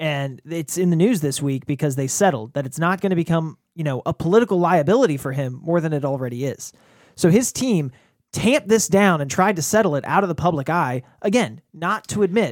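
Fairly quick speech from a man with a fairly high pitch, a plain, everyday voice, on a very clean recording with a silent background. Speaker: political panelist. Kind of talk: casual political roundtable chat. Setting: studio roundtable.

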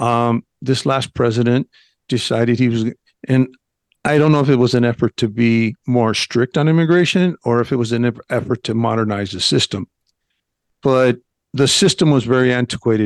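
Speaking at a moderate pace with an American accent, a man uses a medium pitch and ordinary pitch variation, leaving long, frequent pauses in a dry, close sound with no echo. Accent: Mexican American English. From northern Mexico. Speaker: retired federal agent, expat YouTuber. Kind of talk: radio interview.

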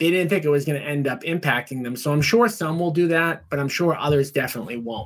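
On a very clean recording with a silent background, a man with an American accent and an unremarkable speaking voice talks at a fairly quick pace with lively intonation. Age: 40s. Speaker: podcast host, real estate agent investor. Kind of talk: solo podcast monologue on economics. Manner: casual, filler-heavy (um, right, you know).

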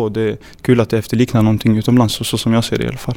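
A man's medium-pitched voice, dark and mellow in tone, with monotone, flat intonation. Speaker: professional footballer. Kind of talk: interview.

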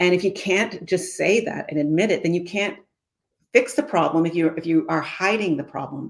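A woman with a Canadian accent speaks at a medium pitch and a moderate pace, with ordinary pitch variation. It is a plain, everyday voice. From Canada. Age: 60s. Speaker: former senator and community advocate. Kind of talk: interview.

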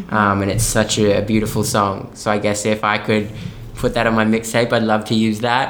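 A man speaks at a moderate pace with a fairly low pitch and monotone, flat intonation. His loudness is very even, and there is audible room echo. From Australia. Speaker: musical theatre performer. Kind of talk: interview conversation.

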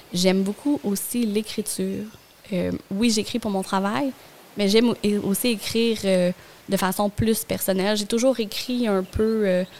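There is noticeable background noise as a woman speaks at a medium pitch with fairly even intonation. Her pace is fairly slow, broken by long, frequent pauses. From Gaspésie, Quebec. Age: 30s. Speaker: communications professional and stay-at-home mother. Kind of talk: casual interview.

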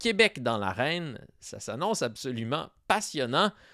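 In a very clean recording with a silent background and a dry, close sound with no echo, a man of medium pitch talks at a fairly slow pace with very wide pitch swings. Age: 30s. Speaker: podcast host. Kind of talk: scripted narration.

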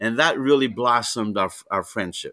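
A man with a bright, sharp tone, medium pitch and fairly even intonation, fairly quick, in a very clean recording with a silent background. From Greece. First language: Greek. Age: 60s. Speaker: wrestling promoter and commissioner. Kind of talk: casual interview. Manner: long-winded storyteller; laughs often, warm.

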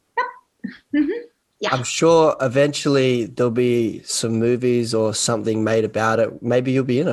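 This man has a medium-pitched voice, fairly even intonation and a moderate pace. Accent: Australian. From Australia. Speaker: podcast host. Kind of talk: casual interview chat. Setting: video call.

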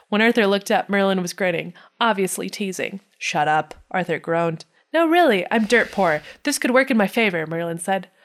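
A woman with an American accent speaks at a fairly quick pace in a medium pitch, with lively intonation. The recording is very clean, with a silent background. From US Midwest. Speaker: podcast co-host. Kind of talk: reading aloud.

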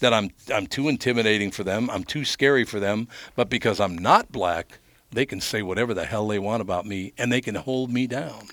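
Here a man with an American accent speaks at a fairly quick pace and a fairly low pitch. His pitch varies in an ordinary way, and the recording is very clean with a silent background. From US Midwest, North Minneapolis. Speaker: radio host. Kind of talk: casual interview chat.

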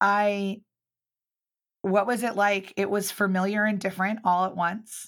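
A woman at a medium pitch, flat and monotone, fairly slow with long, frequent pauses, on a very clean recording with a silent background. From US Mid-Atlantic (Baltimore and Philadelphia suburbs). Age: 30s. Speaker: public speaker and business owner. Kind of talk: casual interview chat.

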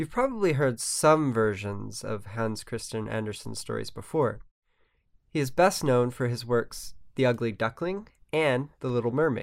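A very clean recording with a silent background captures a man with an ordinary speaking voice, medium pitch, ordinary pitch variation and a moderate pace. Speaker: podcast co-host. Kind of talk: podcast intro and outro reading.

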